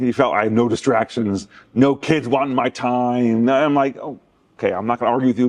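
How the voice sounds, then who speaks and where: Intonation stays fairly even as a man speaks. His pace is fairly quick. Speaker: retired military chaplain. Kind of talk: interview. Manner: loud.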